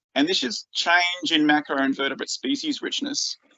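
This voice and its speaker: Here is a man's voice. He speaks with an Australian accent. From Australia, rural northeast Victoria. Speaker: freshwater scientist. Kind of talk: conference presentation. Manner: halting, many fillers and repeats.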